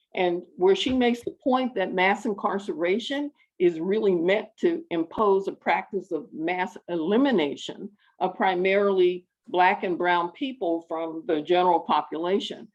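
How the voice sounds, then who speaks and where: This woman has an American accent and a medium pitch, speaking at a moderate pace. It is a plain, everyday voice. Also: lively intonation. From United States. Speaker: PhD student, audience member asking a question. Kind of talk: question from the audience at an online panel.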